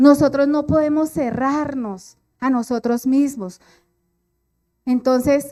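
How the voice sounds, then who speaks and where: Speaking at a very slow pace with long, frequent pauses, a woman uses a high pitch, a dark, mellow tone and ordinary pitch variation. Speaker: preacher. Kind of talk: sermon.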